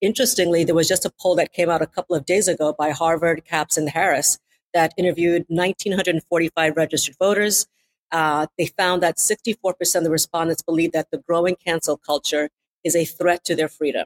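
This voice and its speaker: In a normal speaking voice, a woman talks at a fairly low pitch and fairly quick pace, with fairly even intonation, very even loudness, and a dry, close sound with no echo. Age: 50s. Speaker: compliance expert. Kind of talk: interview.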